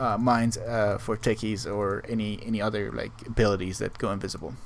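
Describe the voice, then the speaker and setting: Audible room echo around a man's fairly quick speech. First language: not English. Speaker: gaming guide creator. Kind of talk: tutorial. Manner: halting, with many fillers.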